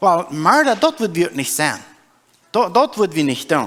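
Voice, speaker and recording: A man is speaking. His pace is moderate. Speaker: preacher. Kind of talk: sermon.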